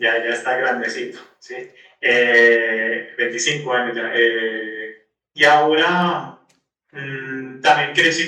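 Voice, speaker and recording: Over audible room echo, a man talks at a medium pitch with fairly even intonation. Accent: Santander Colombian. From Colombia, Cúcuta (Santander region). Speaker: Franciscan friar. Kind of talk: podcast interview. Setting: remote call from Rome.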